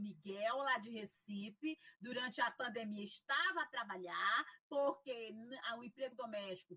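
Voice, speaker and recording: A normal speaking voice at a fairly slow pace with lively intonation. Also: woman. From Piauí, Brazil. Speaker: sociology professor and racial equality official. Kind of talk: interview.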